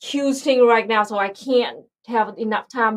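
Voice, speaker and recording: A woman with a Vietnamese accent at a fairly slow pace, against a quiet background. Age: 30s. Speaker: political streamer. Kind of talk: live stream chat. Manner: loud; halting.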